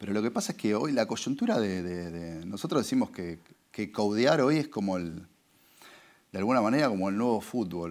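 In a Rioplatense accent, a man with a fairly low pitch speaks with lively intonation. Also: moderate pace, quiet background. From Argentina. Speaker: advertising agency executive; interviewee. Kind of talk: interview. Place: studio.

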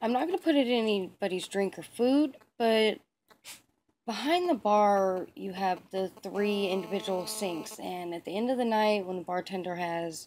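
Moderately paced female speech with normal pitch movement and faint background noise. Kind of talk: casual vlog chat. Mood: playful, mischievous. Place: home room. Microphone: phone near.

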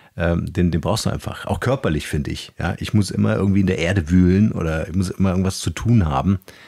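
This man's voice sits very deep and low, with a dark, mellow tone. He talks at a fairly quick pace with ordinary pitch variation. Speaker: podcast host. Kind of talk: casual interview. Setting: video call.

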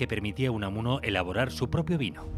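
With music in the background, a man talks at a very fast pace. His intonation is lively. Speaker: narrator. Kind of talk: documentary narration.

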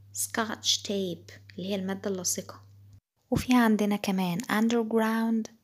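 A woman speaks at a very slow pace in a medium pitch, her voice somewhat breathy and her intonation fairly even. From Egypt. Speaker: English teacher. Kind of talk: tutorial.

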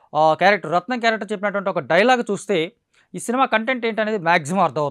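A man speaks fast in a high voice with a fairly bright tone, recorded very cleanly against total silence.

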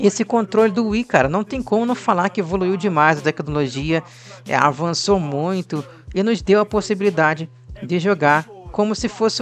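A man's high-pitched voice at a moderate pace, with music in the background. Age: 30s. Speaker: gaming youtuber. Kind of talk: casual video commentary. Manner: animated.

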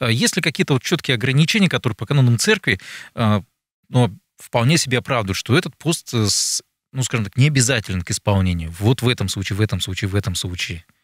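A man speaks at a fairly quick pace with lively intonation and a somewhat breathy voice. The background is quiet and the sound is dry with no echo. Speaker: radio talk show host. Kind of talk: interview questions. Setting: studio. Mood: calm, polite. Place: studio. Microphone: studio mic.

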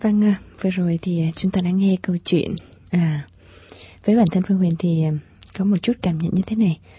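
A woman sounds somewhat breathy, with fairly even intonation. She leaves long, frequent pauses. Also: moderate pace, very even loudness. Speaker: radio host. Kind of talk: late-night radio call-in show; radio talk show hosting. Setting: studio. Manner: warm and polite. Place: studio.

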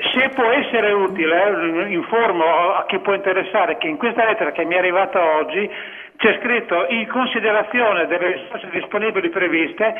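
A man's fairly quick, high-pitched speech with ordinary pitch variation over noticeable background noise. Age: 60s. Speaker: caller. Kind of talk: casual chat. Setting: phone call. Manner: halting.

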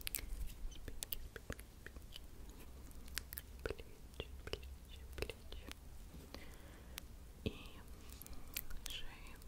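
Very slow speech from a woman, broken by long, frequent pauses. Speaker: ASMR creator. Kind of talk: ASMR massage roleplay. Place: home room. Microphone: studio mic.

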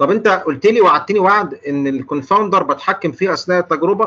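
Speaking fairly quickly with lively intonation, a man with an Egyptian accent has a high pitch and a bright, sharp tone. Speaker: clinical pharmacist lecturer. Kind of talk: lecture. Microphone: video call.

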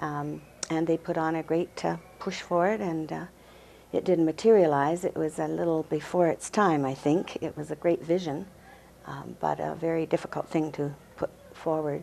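Amid light background noise, a woman with a Western Canadian accent speaks at a moderate pace in a very deep, low, dark and mellow voice with fairly even intonation. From Canada, Burnaby, British Columbia; British Columbia. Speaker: museum and archives volunteer, marriage commissioner; interviewee. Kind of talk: interview. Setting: studio. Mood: warm, reminiscent. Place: office. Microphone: lapel.

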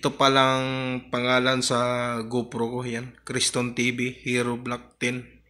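A man's bright, sharp voice, very slow and monotone with flat intonation. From Philippines. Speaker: YouTube vlogger. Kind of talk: tutorial. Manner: casual, conversational. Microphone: phone near.

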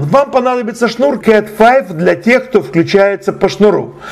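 A male voice with ordinary pitch variation comes through noticeable background noise. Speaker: channel host and tech tutorial presenter. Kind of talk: tutorial. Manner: slow, detailed explanation.

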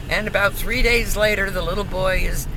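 A woman speaks over noticeable background noise, her sound dry with no echo. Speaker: grandmother. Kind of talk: casual joke telling. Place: car. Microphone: phone near.

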